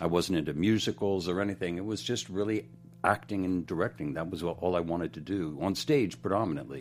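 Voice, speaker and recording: Talking at a fairly quick pace, a man with an American accent and a very deep, low pitch shows ordinary pitch variation. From Pennsylvania, outside Philadelphia. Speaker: director and choreographer. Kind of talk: interview. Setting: studio.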